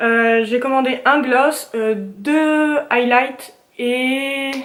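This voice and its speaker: Over audible room echo, a woman talks very slowly in a high pitch with fairly even intonation. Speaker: beauty vlogger. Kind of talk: casual haul video chat. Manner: hesitant with many fillers.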